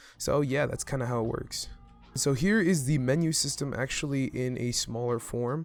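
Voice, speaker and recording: Music plays in the background behind a man. His pitch varies in an ordinary way. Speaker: Minecraft redstone content creator. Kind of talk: casual gameplay tutorial narration.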